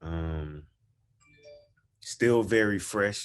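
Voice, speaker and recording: Over a quiet background, a man with a Southern US accent speaks in a bright, sharp tone with ordinary pitch variation. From Georgia, US South. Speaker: film writer and director. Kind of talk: casual self-introduction on a panel.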